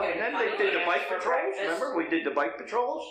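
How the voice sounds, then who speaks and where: Amid audible room echo and music in the background, a man with an American accent speaks at a fairly quick pace. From New Jersey, Burlington County (Beverly). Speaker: retired police chief. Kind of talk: casual interview. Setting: live podcast recording in library. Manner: animated.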